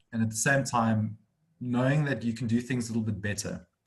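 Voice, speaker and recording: Speaking very fast with a South African accent, a man uses a somewhat breathy, fairly low voice and fairly even intonation. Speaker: accounting firm director. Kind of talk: webinar interview. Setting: video call.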